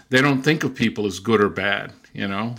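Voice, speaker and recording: A man's fairly low voice with a bright, sharp tone and a Californian accent. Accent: Californian American. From US, Southern California (Mexican border). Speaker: linguist. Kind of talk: interview.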